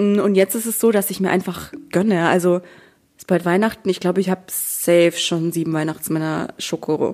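With an unremarkable speaking voice, a woman talks at a moderate pace, medium in pitch, with fairly even intonation. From Bavaria, small town. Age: 20s. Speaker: social media creator and student. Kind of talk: casual interview chat.

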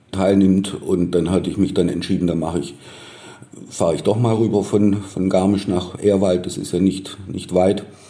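The speech moves at a moderate pace with fairly even intonation, heard through audible room echo and noticeable background noise. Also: man, very deep, low pitch for a man. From Baden-Württemberg, near Stuttgart. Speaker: journalist. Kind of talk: interview.

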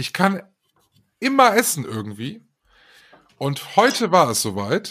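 On a very clean recording with a silent background, a man with a fairly high pitch speaks at a very slow pace. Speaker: podcast co-host, radio presenter.

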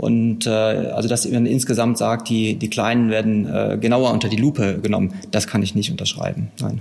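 Medium-pitched male speech at a moderate pace with hardly any pauses, very even loudness and fairly even intonation, against noticeable background noise. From Westphalia, Herford district. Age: 40s. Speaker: tax auditor. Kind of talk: interview. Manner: hesitant with fillers.

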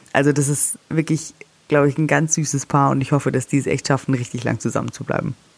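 At a very fast pace, a woman speaks with a very deep, low pitch, vocal fry and fairly even intonation. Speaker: celebrity news podcast host. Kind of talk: casual chat. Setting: holiday room in the Alps.

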